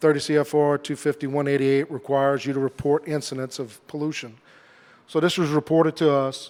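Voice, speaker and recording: A man with a Southern Louisiana accent speaks at a fairly high pitch and a fairly quick pace on a very clean recording with a silent background. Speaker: government safety engineer. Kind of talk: conference presentation. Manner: hesitant, many fillers.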